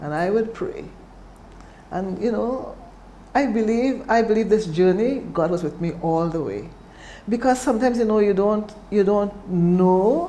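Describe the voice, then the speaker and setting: Pausing long and frequently, a woman speaks fairly slowly at a medium pitch with lively intonation, and room echo is audible. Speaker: cancer survivor. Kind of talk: testimony.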